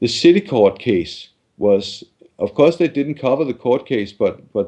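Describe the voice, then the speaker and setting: A man with a Danish accent, a dark, mellow tone and lively intonation. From Denmark. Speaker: journalist and activist. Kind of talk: interview. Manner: halting, many repetitions and fillers.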